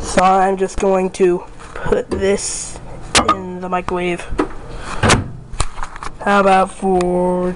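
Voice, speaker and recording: Amid noticeable background noise, a man speaks at a very slow pace with long, frequent pauses. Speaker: home experiment video host. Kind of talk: casual talk to camera. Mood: wry, disappointed. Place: kitchen. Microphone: phone near.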